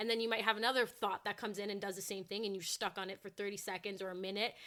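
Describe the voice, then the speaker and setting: Her delivery is very fast, with a bright, sharp tone and monotone, flat intonation at a medium pitch for a woman. The recording is very clean with a silent background. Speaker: fitness content creator. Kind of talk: casual chat.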